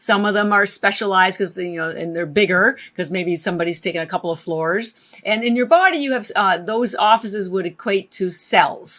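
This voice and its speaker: A woman speaks at a fairly quick pace and a medium pitch, with ordinary pitch variation and noticeable background noise. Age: 60s. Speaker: wellness entrepreneur, company founder. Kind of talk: podcast interview. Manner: animated.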